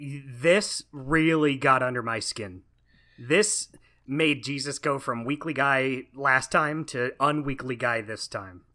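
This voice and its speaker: On a very clean recording with a silent background, a man with an American accent speaks very slowly in a bright, sharp tone. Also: fairly high pitch for a man, ordinary pitch variation. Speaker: podcast co-host. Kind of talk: casual chat. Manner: distinctive way of talking.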